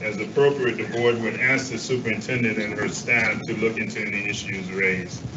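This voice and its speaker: A man at a fairly quick pace over noticeable background noise. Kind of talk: reading a formal statement. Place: hall.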